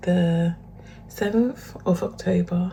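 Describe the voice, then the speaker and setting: With a British accent and a fairly low pitch, a woman speaks at a very slow pace over noticeable background noise. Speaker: fitness vlogger. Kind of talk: casual vlog talk to camera. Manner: hesitant, with fillers; quiet, low voice.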